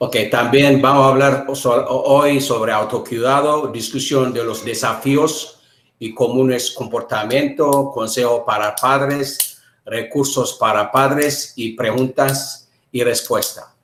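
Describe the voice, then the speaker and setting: A man's medium-pitched voice at a moderate pace, with monotone, flat intonation. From Ethiopia. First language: Amharic. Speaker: interpreter. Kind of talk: live interpreting; self-introduction. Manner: halting.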